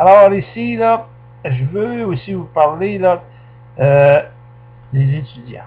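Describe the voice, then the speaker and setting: Speaking at a very slow pace with a Quebec accent, a man with a fairly high pitch uses very wide pitch swings and long, frequent pauses. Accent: Québécois French. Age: 70s. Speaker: political commentator. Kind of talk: political monologue. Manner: animated.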